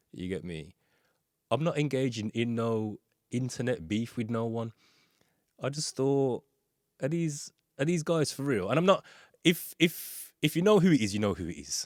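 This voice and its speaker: A man speaks at a moderate pace in a medium pitch, his voice swinging very widely up and down with long, frequent pauses. The sound is dry and close with no echo, on a very clean recording with a silent background. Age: 40s. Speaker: podcast host and music producer. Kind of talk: casual monologue. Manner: casual, conversational with frequent fillers.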